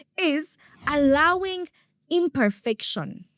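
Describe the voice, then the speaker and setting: The tone is animated, with very wide pitch swings. The sound is dry and close, with no echo. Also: woman. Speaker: podcast host. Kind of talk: motivational podcast monologue.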